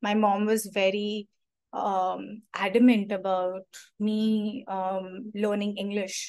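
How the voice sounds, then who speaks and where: A woman's medium-pitched, monotone, flat delivery at a very slow pace. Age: 20s. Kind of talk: personal testimony.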